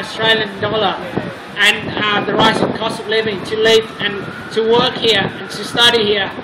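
At a moderate pace, a man talks over loud background noise. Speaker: international student. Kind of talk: rally speech. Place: street. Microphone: camera far.

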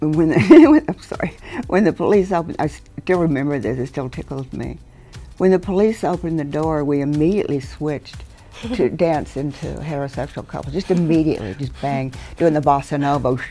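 Faint music plays in the background as a woman speaks in a very deep, low voice with ordinary pitch variation. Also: fairly quick pace. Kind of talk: interview answer. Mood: amused, reminiscing. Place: studio.

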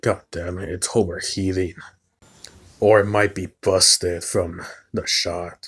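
Putting on a character voice, a man speaks raspy and very deep with a monotone, flat intonation at a fairly slow pace with long, frequent pauses, in a very clean recording with a silent background. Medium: audio drama. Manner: skeptical, gruff.

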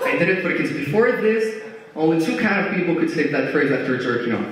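A man speaks with very wide swings in pitch. Strong echo fills the room around him. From Italy. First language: Italian. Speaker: stand-up comedian. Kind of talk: stand-up comedy set with audience, cracking rapid-fire edgy jokes and punchlines. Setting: stage with audience. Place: stage.

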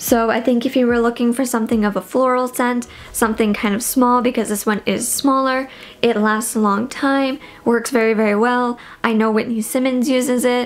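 At a moderate pace and with fairly even intonation, a woman speaks over faint background noise. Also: fairly high pitch for a woman, few pauses.

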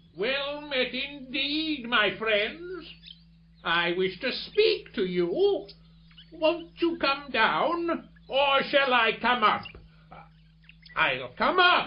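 In a put-on character voice pitched extremely high, a man talks very slowly with long, frequent pauses. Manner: warm, calmly commanding.

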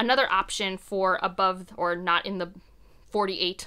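An American accent colors a woman's animated, bright and sharp voice, medium in pitch, against a quiet background. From US Midwest, Ohio. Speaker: book content creator. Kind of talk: casual monologue to camera. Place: home room.

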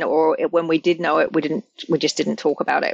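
The voice comes at a moderate pace, with a dry, close sound and no echo. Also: woman. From England. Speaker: domestic violence prevention leader. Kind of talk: interview conversation. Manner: frequent fillers and hesitations.

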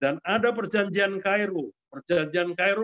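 Against a quiet background, a man with a high-pitched voice speaks at a moderate pace. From Central Java, Kendal; Central Java. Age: 70s. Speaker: senior politician and businessman; senior politician. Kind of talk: interview. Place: home room. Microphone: webcam.

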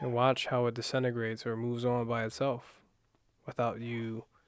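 Soft-spoken and calm, a man talks in a monotone with flat intonation, the sound dry with no echo. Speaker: meditation guide. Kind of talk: guided meditation. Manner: calm, unhurried, soft-spoken guiding; hesitant, self-correcting, casual. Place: home room.

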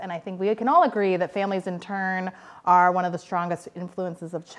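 A woman speaking at a fairly quick pace. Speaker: guest researcher lecturer. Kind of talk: lecture. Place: classroom.

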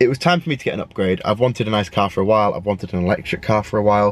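Speaking at a very fast pace and a fairly low pitch, a man is heard in a dry sound with no echo and light background noise. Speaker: vlogger. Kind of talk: casual vlog chat. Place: car. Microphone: phone near.

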